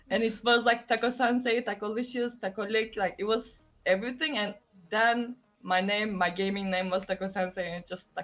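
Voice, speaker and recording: A woman's fairly high voice with fairly even intonation, music playing in the background. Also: moderate pace. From Turkey. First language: Turkish. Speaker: streamer. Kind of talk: casual chat.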